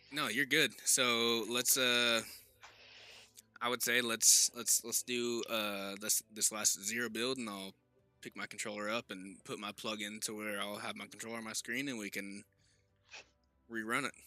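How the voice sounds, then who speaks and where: Someone with an American accent talks at a moderate pace in a flat monotone, leaving long, frequent pauses. The sound is dry and close with no echo, and music plays in the background. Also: man, medium pitch for a man. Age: 20s. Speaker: gaming streamer. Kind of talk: casual chat.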